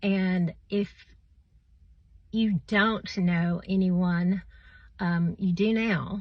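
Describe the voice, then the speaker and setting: Very slowly and somewhat breathily, a woman speaks at a medium pitch with monotone, flat intonation. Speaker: vlogger sharing health story. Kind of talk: personal testimony. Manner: halting, many fillers.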